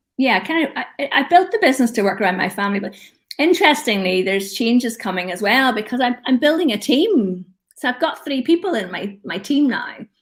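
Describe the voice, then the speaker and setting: This woman has an Irish accent and a high pitch. She talks at a fairly quick pace with very wide pitch swings. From Northern Ireland. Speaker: LinkedIn expert. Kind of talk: casual chat. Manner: animated.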